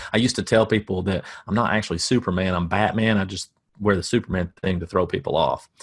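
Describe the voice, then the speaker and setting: A man talks at a very fast pace with fairly even intonation. The background is quiet. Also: fairly low pitch for a man. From US South. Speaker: marketing coach. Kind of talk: webinar presentation. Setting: home office. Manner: dry deadpan humor.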